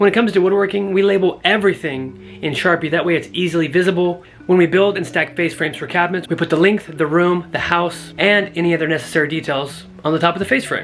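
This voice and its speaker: Words rush out at a very fast pace with hardly any pauses. Background noise is noticeable throughout. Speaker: woodworking YouTuber. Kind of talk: product review tutorial. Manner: casual, conversational; soft-spoken.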